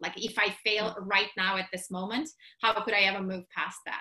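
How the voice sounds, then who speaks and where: A woman with a Russian accent talks at a fairly quick pace and medium pitch. Her tone is bright and sharp. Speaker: entrepreneur and business summit organizer. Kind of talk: casual interview chat. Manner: animated.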